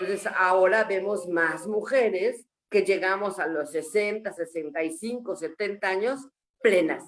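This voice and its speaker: A woman's medium-pitched voice, an ordinary speaking voice with ordinary pitch variation and a moderate pace. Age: 60s. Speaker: menopause support group member. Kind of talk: panel discussion testimony.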